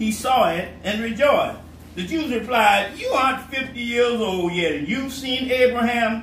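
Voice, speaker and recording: This man talks at a moderate pace with lively intonation. Noticeable background noise and audible room echo come through. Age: 70s. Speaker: pastor. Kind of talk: sermon.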